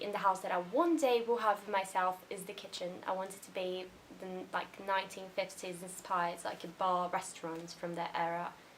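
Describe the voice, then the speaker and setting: Background noise clearly present behind speech at a moderate speed. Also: woman. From Brazil. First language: Portuguese. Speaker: YouTuber. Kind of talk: casual vlog monologue.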